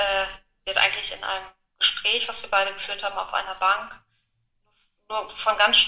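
The pace is fairly quick. Intonation stays monotone and flat. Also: woman. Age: 40s. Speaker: widow sharing her grief story. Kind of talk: personal testimony in interview. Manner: hesitant, many fillers.

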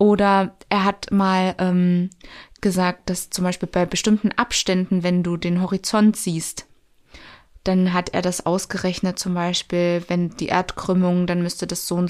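A woman's medium-pitched voice, monotone and flat, at a fairly slow pace, in a very clean recording with a silent background. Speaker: podcast host and social worker. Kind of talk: casual chat. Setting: studio.

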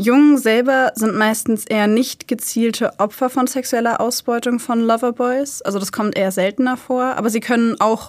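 In a very clean recording with a silent background, a woman with a plain, everyday voice speaks at a moderate pace with fairly even intonation. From Germany, Hanover. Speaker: true crime podcast host. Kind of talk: casual chat.

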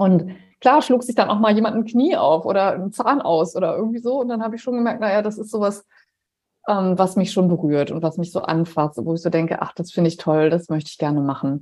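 A woman speaks in a normal speaking voice at medium pitch. Her pace is fairly quick and her intonation lively. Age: 50s. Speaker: nurse and healthcare startup founder. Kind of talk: podcast interview.

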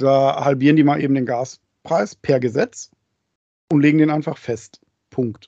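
A man's fairly high-pitched voice with a dark, mellow tone, fairly even intonation, a fairly slow pace and long, frequent pauses. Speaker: podcast co-host, father. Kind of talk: casual chat. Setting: video call. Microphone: mic very close to mouth.

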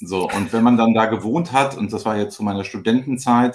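Here is a man with an unremarkable speaking voice. His pitch is medium with ordinary variation, and his pace is fairly quick. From northern Germany, Flensburg near the Danish border. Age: 40s. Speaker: company managing director. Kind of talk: casual chat.

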